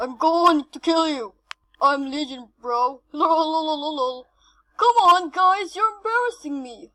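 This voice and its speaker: This woman's put-on character voice sits at an extremely high pitch. Her pace is fairly slow. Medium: solo performance.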